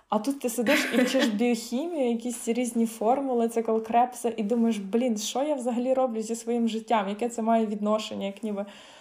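With noticeable background noise, a woman with a fairly high pitch speaks in a monotone, flat intonation, barely pausing at all. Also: moderate pace. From Ukraine, Khmelnytskyi. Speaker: medical student. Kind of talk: casual interview.

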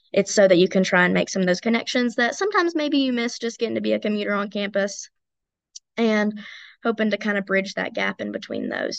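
Against a quiet background, a woman with an Appalachian accent talks at a very fast pace in a fairly high pitch, with ordinary pitch variation. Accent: Southern US (Appalachian). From East Tennessee. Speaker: college student leader. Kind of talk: interview.

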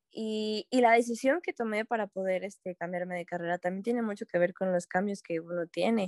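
A woman with an unremarkable speaking voice talks at a fairly quick pace and medium pitch, barely pausing, her intonation fairly even and the sound dry and close with no echo. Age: 20s. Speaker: university student ambassador. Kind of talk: casual chat.

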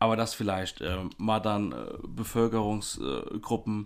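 A man with an unremarkable speaking voice, pitched fairly low, speaks at a moderate pace with ordinary pitch variation. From Germany, Rhineland-Palatinate (Baumholder). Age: 30s. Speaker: podcast co-host, educator. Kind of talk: casual chat.

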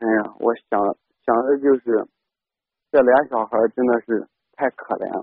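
Speaking in a flat monotone at medium pitch, a man goes at a fairly slow pace with long, frequent pauses. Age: 20s. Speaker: caller, stone factory worker. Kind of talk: call-in personal story. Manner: halting, many fillers.

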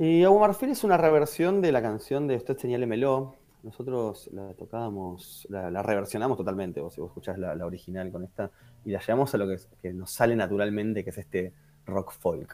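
A man in a Rioplatense accent, fairly quick and fairly low-pitched, with a dark, mellow tone and lively intonation. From Argentina, Quilmes (Buenos Aires south). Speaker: musician. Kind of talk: casual interview.

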